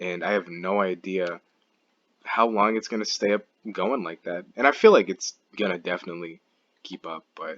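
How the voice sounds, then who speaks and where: Pausing long and often at a moderate pace, a man with a very deep, low pitch speaks with a dry, close sound with no echo. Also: fairly even intonation. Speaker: gaming commentary youtuber. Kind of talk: casual monologue. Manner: halting, stumbles over words.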